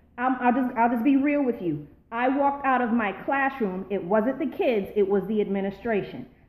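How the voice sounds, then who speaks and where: Here a woman with an American accent has an ordinary speaking voice, a fairly high pitch and ordinary pitch variation. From Charleston, South Carolina. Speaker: former public school educator. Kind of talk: casual live-stream talk to viewers. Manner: upbeat, excited.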